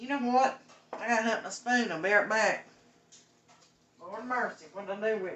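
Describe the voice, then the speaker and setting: With noticeable background noise behind her, a woman speaks at a fairly high pitch with fairly even intonation and long, frequent pauses. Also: moderate pace, big swings in loudness. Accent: Southern Appalachian. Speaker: cooking show host. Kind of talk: live cooking stream chat. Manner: casual.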